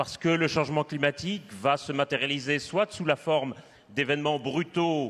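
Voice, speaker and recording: A man speaks in a Belgian accent at a moderate pace. His pitch sits fairly high. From Belgium. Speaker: climate researcher, panelist. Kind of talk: panel discussion.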